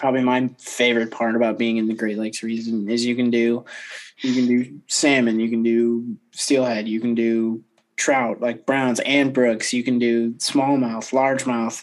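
With an American accent, a man with a normal speaking voice talks at a moderate pace, medium in pitch and fairly even in intonation. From eastern Michigan. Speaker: podcast host, fly shop worker. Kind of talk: casual chat.

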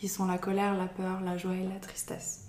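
Noticeable background noise and audible room echo accompany speech at a moderate pace. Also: woman. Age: 20s. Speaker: early childhood educator. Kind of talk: interview. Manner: halting.

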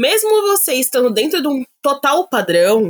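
Very wide pitch swings from a woman talking fairly slowly. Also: dry, close sound with no echo. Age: 20s. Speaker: plus-size model. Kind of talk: casual chat.

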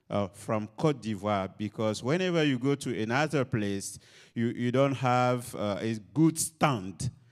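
Music plays in the background as a man speaks at a fairly slow pace. His medium pitch shows ordinary pitch variation. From Ivory Coast. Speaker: missionary pastor. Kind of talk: interview in front of audience. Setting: stage with audience.

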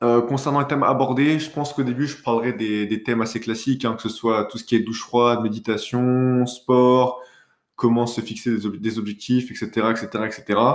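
This man's voice sits at a medium pitch, moving at a fairly slow pace with fairly even intonation. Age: 20s. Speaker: podcast host, business school student. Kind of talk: casual solo monologue. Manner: hesitant, with fillers and self-corrections.

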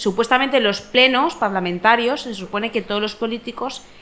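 With ordinary pitch variation, a woman talks at a fairly quick pace over noticeable background noise. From Valencia. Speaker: podcast panelist. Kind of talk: casual chat.

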